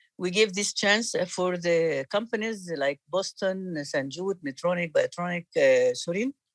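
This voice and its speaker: The speaker talks with an Arabic accent and hardly any pauses. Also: moderate pace. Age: 60s. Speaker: cardiologist and course organizer. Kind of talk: meeting introduction. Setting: video call.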